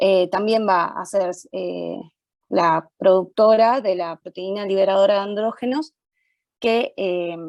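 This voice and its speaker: A woman talks at a medium pitch with ordinary pitch variation against a quiet background. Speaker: medical student leading study group. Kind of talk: student study session explanation. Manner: fast; hesitant, many fillers.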